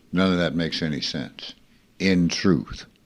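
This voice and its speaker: At a very slow pace, a man speaks in a very deep, low pitch with vocal fry. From US South. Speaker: spiritual teacher. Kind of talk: spiritual talk with questions. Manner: casual, conversational.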